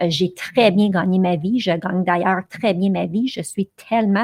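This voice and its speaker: Somewhat breathy, a woman speaks at medium pitch and moderate pace with ordinary pitch variation, in a dry, close sound with no echo. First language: English (speaking French). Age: 40s. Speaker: podcast host and blogger. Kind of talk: solo podcast monologue. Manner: animated, with frequent fillers.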